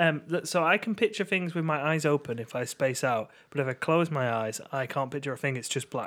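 An ordinary speaking voice from a man, fairly high in pitch, with lively intonation, a fairly quick pace and hardly any pauses. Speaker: podcast co-host. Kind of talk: casual chat.

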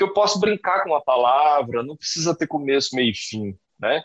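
A man speaks at a moderate pace, his pitch swinging very widely. The sound is dry and close, with no echo. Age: 30s. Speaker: writer and creative writing teacher. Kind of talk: casual interview.

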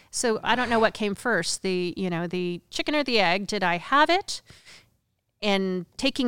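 Recorded very cleanly over a silent background, a woman with an American accent talks at a moderate pace and medium pitch, a plain, everyday voice with a dry, close sound and no echo. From Oregon. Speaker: MMA commentator and ring announcer. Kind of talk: casual interview chat. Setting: studio.

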